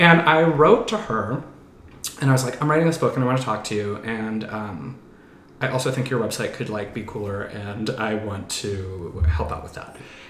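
A man with a medium pitch, lively intonation, big swings in loudness and a moderate pace, plus audible room echo. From moved around US; teen years in western Pennsylvania. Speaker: horror and TV movie screenwriter. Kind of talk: casual chat.

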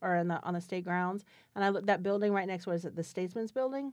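A woman's medium-pitched voice, fairly even in intonation, comes through over a quiet background. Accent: American. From Florida, Spring Hill near Tampa. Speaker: downtown business association director. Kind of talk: interview.

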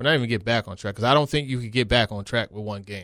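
On a very clean recording with a silent background, a man talks at medium pitch in a plain, everyday voice. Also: dry, close sound with no echo. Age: 40s. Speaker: sports reporter. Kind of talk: casual chat.

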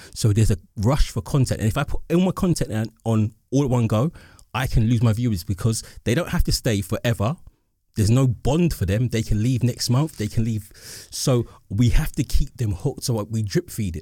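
Fairly quick, somewhat breathy speech from a man with a dark, mellow tone, medium pitch and lively intonation, on a very clean recording with a silent background. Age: 40s. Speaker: podcast host. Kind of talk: casual chat.

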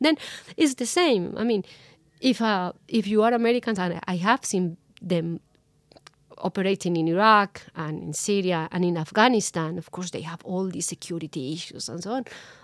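In a Spanish accent, the speaker talks at a moderate pace with ordinary pitch variation, in a very clean recording with a silent background and a dry, close sound with no echo. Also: woman, medium pitch for a woman. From Colombia. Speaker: journalist. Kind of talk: interview. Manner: halting.

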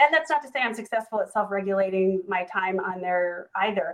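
A woman talks at a fairly quick pace in a normal speaking voice, medium in pitch, with ordinary pitch variation. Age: 50. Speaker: promotional products business owner. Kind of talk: panel discussion. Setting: video call.

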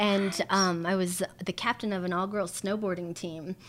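This woman speaks in an American accent. Her pace is moderate. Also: very clean recording, silent background. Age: 40s. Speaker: handbag designer and emcee. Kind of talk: casual interview chat. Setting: home. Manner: animated.

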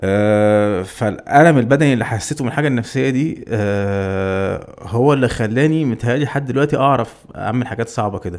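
With a normal speaking voice, a man talks at a moderate pace and medium pitch, using ordinary pitch variation and hardly any pauses. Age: 30s. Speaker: adventurer who cycled and ran across Egypt. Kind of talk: casual chat. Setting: studio.

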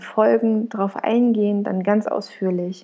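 A woman speaks at a fairly slow pace and a fairly high pitch. Her dark, mellow tone holds a monotone, flat intonation. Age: 20s. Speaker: podcaster sharing her anxiety disorder story. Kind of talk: personal monologue, podcast intro. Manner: unscripted, spontaneous with fillers; warm, emotional.

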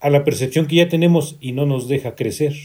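This man's voice is fairly high in pitch and monotone, with flat intonation. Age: 50s. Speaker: guest. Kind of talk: casual chat.

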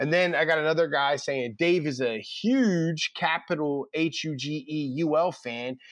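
A man with a Philadelphia accent talks at a fairly slow pace with hardly any pauses. His pitch is fairly high, with ordinary variation, against a quiet background. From Philadelphia (North Philly). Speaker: college football recruiting reporter. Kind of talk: casual chat.

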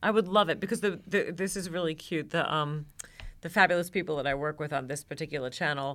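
With an American accent, a woman of fairly low pitch speaks very fast with ordinary pitch variation. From New York. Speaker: cookbook author and TV cooking presenter. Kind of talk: casual chat.

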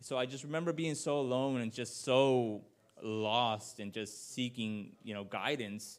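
A man is speaking. He goes at a moderate pace. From Washington State, Yakima Valley. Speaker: preacher. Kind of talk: sermon. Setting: church. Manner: halting.

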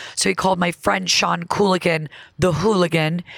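With an American accent, a woman talks at a moderate pace in a fairly low, animated voice marked by vocal fry. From upstate New York (Elmira). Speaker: comedian. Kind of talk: casual chat.

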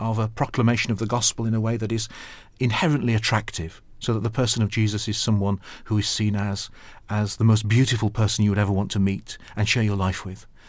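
Over a silent background in a very clean recording, a man with a Yorkshire accent speaks very fast in a fairly low pitch. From Yorkshire, northern England (Sheffield). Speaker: archbishop. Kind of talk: interview.

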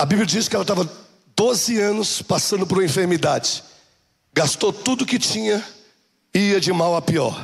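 A man's high voice at a moderate pace, with very even loudness, ordinary pitch variation and long, frequent pauses. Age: 40s. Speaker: bishop. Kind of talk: sermon. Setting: church. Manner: animated.

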